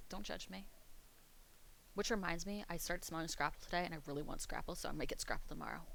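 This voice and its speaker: A woman with an American accent talking very fast between long, frequent pauses, with audible room echo. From US East Coast, Pennsylvania. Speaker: streamer. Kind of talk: casual chat. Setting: live stream. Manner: animated.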